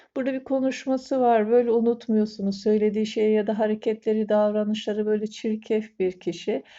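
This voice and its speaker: Her pitch fairly high and her intonation fairly even, a woman speaks at a moderate pace. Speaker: fortune teller. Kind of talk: coffee cup fortune reading to camera. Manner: hesitant filler-heavy.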